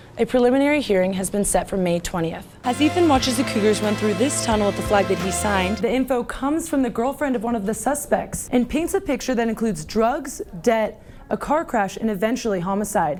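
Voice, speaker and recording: A woman's fairly quick, lively voice with hardly any pauses, music playing behind her. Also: fairly high pitch for a woman. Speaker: TV news anchor and reporter. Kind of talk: TV news anchor and reporter delivery.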